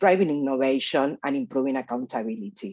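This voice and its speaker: A Spanish accent at a moderate pace over a quiet background. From Argentina. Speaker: researcher leading a data initiative. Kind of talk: conference presentation. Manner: hesitant with fillers.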